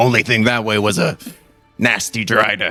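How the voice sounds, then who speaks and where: Over faint background music, a man does a raspy put-on character voice at a medium pitch. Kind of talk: pirate speech. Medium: actual play. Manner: suspicious, questioning.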